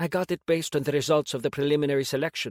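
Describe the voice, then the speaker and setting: In a put-on, growling character voice, a man speaks very fast at a fairly high pitch with fairly even intonation, the sound dry and close with no echo. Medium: read story. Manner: soft, somewhat shy.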